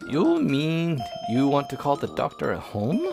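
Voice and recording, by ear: The speaker uses a put-on character voice that sounds strained, at a moderate pace. Clear music plays in the background. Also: man, fairly high pitch for a man.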